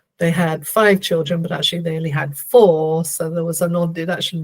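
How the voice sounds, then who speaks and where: Fairly even intonation in a somewhat breathy voice. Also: woman. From Canada. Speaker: theta healer and spiritual guide. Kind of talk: interview conversation. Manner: slow and clear.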